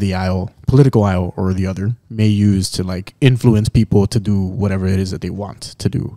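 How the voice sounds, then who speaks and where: A man speaks at a fairly low pitch with a dark, mellow tone and fairly even intonation against a quiet background. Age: 20s. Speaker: podcast co-host. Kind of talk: casual chat. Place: studio. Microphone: studio mic.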